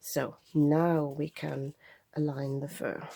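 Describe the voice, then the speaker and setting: A woman's very deep, low voice with a dark, mellow tone and monotone, flat intonation. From Germany. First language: German. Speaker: craft youtuber. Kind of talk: tutorial. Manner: unscripted, casual.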